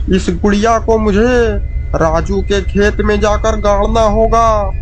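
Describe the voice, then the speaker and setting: A man uses a cartoonish character voice at a very slow pace. Clear background noise can be heard. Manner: spiteful, scheming.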